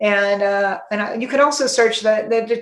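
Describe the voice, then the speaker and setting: A woman speaks at a fairly quick pace with a fairly high pitch. Noticeable background noise runs underneath. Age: 60s. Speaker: psychiatrist. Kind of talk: interview. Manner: halting.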